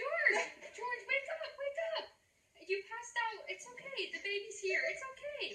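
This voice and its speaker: Putting on a squeaky character voice at an extremely high pitch, a woman speaks at a moderate pace with lively intonation and slight echo. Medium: stage play.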